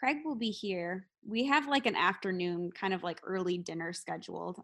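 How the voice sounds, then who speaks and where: The voice belongs to a woman with a medium pitch. The background is quiet. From US Midwest, Wisconsin. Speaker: hockey player's wife. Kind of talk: casual chat.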